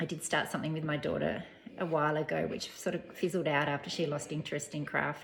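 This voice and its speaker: Speaking very fast in an Australian accent, a woman uses a very deep, low pitch with vocal fry and monotone, flat intonation. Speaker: knitting vlogger, teacher. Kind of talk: casual chat. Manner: soft-spoken; hesitant.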